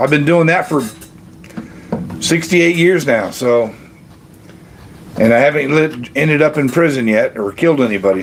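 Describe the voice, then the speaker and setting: Over noticeable background noise, a man talks at a fairly quick pace. His voice is fairly high, with lively intonation. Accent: American. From Kentucky, US. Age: 60s. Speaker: retiree livestream host. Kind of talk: casual livestream chat reading comments. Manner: halting, many fillers.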